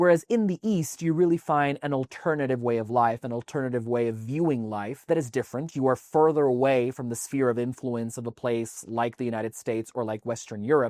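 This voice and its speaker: Dry and close with no echo, a man talks at a fairly quick pace with hardly any pauses, at medium pitch with ordinary pitch variation. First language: Spanish. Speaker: tax advisor. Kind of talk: talking-head explainer video.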